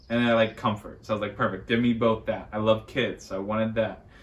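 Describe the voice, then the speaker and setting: This is a man with a medium pitch. His intonation is monotone and flat. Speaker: teacher. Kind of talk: casual chat. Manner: loud.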